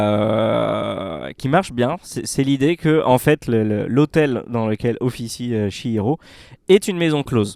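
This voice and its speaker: On a very clean recording with a silent background, a man speaks at a fairly slow pace with lively intonation. The sound is dry and close, with no echo. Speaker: podcast panelist. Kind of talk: casual chat. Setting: cinema room. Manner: animated.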